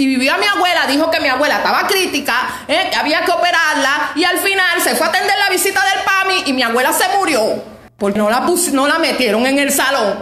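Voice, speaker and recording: With an extremely high pitch and lively intonation, a woman speaks in a room with audible echo. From Cuba. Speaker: Cuban woman denouncing her grandmother's death. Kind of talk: social media video rant. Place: home room. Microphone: phone near.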